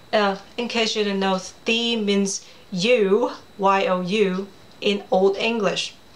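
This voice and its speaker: With a Cantonese accent, a woman speaks at a medium pitch and fairly even intonation. Background noise is noticeable. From Hong Kong. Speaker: children's author. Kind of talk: personal storytelling presentation. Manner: casual, chatty.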